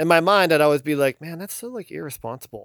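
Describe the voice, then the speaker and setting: A man with an American accent and an unremarkable speaking voice talks at a fairly quick pace with lively intonation and a fairly high pitch, the sound dry and close with no echo on a very clean recording with a silent background. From northeastern Ohio, Hudson. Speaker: music producer. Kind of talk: casual interview.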